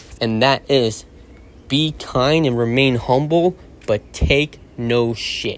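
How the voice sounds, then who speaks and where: Speaking at a very slow pace, a man with a medium-pitched voice uses ordinary pitch variation. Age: 30s. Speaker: podcast host. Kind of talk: motivational monologue.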